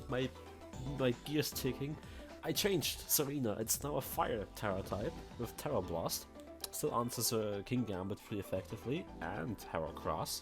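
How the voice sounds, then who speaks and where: Music plays in the background as a man speaks at a medium pitch with very wide pitch swings. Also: moderate pace. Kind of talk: casual gaming commentary.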